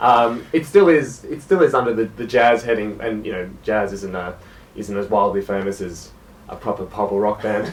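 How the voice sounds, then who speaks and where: The speaker has an Australian accent and a moderate pace. Noticeable background noise is present. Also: man, fairly low pitch for a man, ordinary pitch variation, big swings in loudness. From Australia, South Gippsland, Victoria. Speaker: jazz musician. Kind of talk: radio interview.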